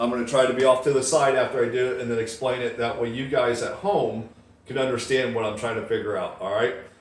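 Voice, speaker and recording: Ordinary pitch variation comes through amid audible room echo and noticeable background noise. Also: man. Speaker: YouTube Bible prophecy commentator. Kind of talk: casual vlog monologue. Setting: home, windows open. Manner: fast; casual, filler-heavy.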